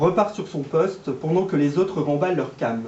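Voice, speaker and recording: The man's pitch is fairly high. He talks at a moderate pace. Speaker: amateur reader / actor taking part in a public reading. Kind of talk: literary reading aloud of a novel, shared between three readers.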